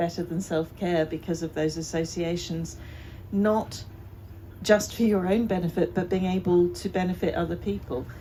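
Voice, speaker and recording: Her dark, mellow voice fairly low in pitch, a woman talks at a moderate pace. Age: 60s. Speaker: festival co-founder and activist. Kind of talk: panel discussion.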